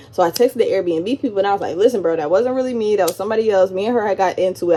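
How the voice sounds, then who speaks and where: Over noticeable background noise, a woman talks at a very fast pace in an animated tone with ordinary pitch variation. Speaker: vlogger. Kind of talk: storytime monologue.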